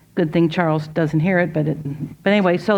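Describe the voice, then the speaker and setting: Here is a woman with a normal speaking voice and a fairly low pitch. She moves at a moderate pace with fairly even intonation. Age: 60s. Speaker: speaker at a women's event. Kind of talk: inspirational talk. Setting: ladies tea with live audience. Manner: conversational.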